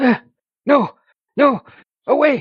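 Put-on character voice with a high pitch. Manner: frightened, pleading.

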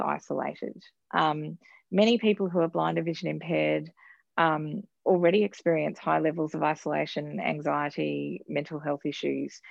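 With an Australian accent, a woman talks at a moderate pace in a dry, close sound with no echo. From Queensland, Australia. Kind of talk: interview. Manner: hesitant, many fillers.

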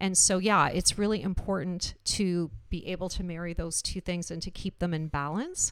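A woman with a Canadian accent and a normal speaking voice talks at a moderate pace and medium pitch, with fairly even intonation, hardly any pauses, and a very clean recording over a silent background. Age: 50s. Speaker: senior living innovation executive. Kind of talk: interview conversation.

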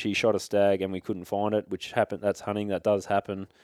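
With an Australian accent, a man of fairly low pitch and a dark, mellow tone is heard in dry, close sound with no echo and a very clean recording with a silent background. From Victoria, Australia. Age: 20s. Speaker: hunter. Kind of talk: casual chat.

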